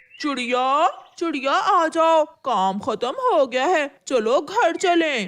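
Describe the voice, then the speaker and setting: The speaker uses a cartoonish character voice at a very slow pace. There are hardly any pauses. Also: woman, high pitch for a woman. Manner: scheming, greedy.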